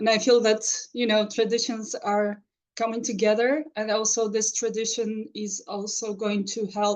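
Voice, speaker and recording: Her fairly high pitch held in a monotone, flat intonation, a woman talks at a fairly slow pace. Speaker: ceremony participant. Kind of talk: casual chat.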